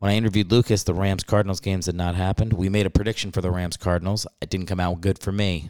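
Very fast and with hardly any pauses, a man talks in a very deep, low voice with monotone, flat intonation, on a very clean recording with a silent background. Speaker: podcast host and stand-up comedian. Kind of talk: casual chat. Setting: home recording late at night. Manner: talking quietly.

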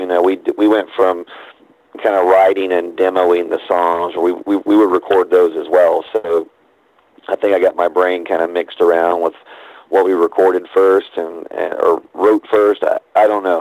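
Monotone and flat in intonation, a man with a very deep, low pitch speaks at a moderate pace. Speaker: musician. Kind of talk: casual interview. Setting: phone call.

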